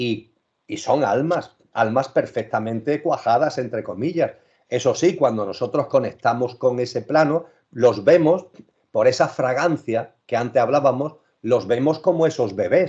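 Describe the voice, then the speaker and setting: A man at medium pitch, his tone dark and mellow, talks at a fairly slow pace with ordinary pitch variation. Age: 60s. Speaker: spiritual speaker. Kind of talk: interview.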